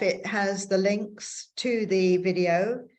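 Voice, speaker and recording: Very slowly and in a monotone, flat intonation, a woman speaks at a medium pitch with an English accent. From England. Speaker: bird photographer and conservation volunteer. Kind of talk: online presentation talk.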